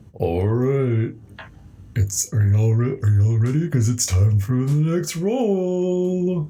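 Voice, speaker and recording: Someone uses a put-on character voice at a low-to-middle pitch, speaking fairly slowly over clear background noise. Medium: actual play. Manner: upbeat, encouraging, folksy.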